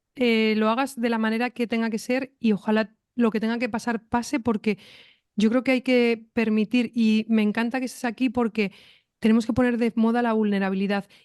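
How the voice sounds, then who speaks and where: Against a quiet background, a woman with a fairly high pitch speaks in a monotone, flat intonation at a moderate pace, with a dry, close sound and no echo. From Spain (Madrid, Pamplona). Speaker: podcast host. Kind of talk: interview.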